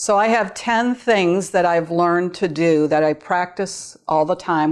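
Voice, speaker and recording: Against a quiet background, a woman speaks in a fairly low pitch. Her pace is moderate and her pitch varies in an ordinary way. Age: 60s. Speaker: gaming video creator. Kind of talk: tutorial. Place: home room.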